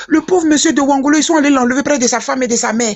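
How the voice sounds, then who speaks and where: A woman with a high-pitched voice talks at a very fast pace. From Côte d'Ivoire. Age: 60s. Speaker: political commentator. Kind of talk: casual chat. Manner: animated; halting.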